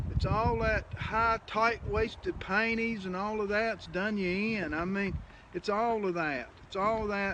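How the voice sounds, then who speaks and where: A man's raised, projected voice with an American accent, high in pitch, fairly slow, and fairly even in intonation. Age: 60s. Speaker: knife and gun maker. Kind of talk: casual chat. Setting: workshop.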